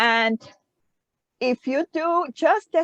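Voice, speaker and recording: A woman with a non-native accent, very wide pitch swings, and a dry, close sound with no echo. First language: not English. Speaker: social media marketer. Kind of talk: group discussion. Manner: halting, many fillers.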